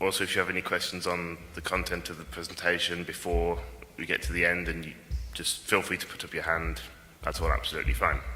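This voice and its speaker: A man with a very deep, low pitch and ordinary pitch variation talks very fast amid noticeable background noise and audible room echo. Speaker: conference speaker, software developer. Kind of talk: technical conference talk. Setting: conference stage with audience.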